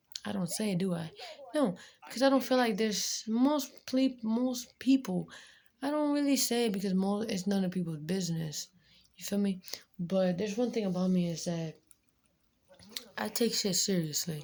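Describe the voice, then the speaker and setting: A woman of medium pitch speaks with lively intonation and a somewhat breathy quality. Her pace is moderate, with long, frequent pauses. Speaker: vlogger. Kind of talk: casual chat.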